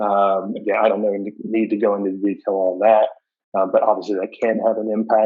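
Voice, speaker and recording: The man's voice is fairly low in pitch. He delivers his words at a fairly quick pace in a monotone, flat way. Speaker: social worker. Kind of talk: lecture.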